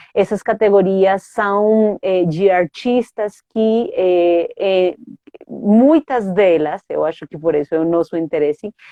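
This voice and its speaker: A woman's medium-pitched voice with a Spanish accent, very slow pace and ordinary pitch variation. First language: Spanish (speaking Portuguese). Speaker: theatre artist and academic. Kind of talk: interview. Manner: halting, many fillers.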